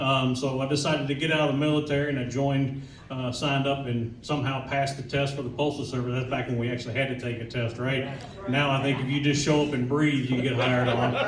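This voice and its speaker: Talking at a very fast pace in a monotone, flat delivery, a man with a medium pitch is heard over noticeable background noise and audible room echo. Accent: American. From Kentucky, Louisville. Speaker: union official. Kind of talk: speech to audience. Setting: event hall with audience. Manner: casual, folksy.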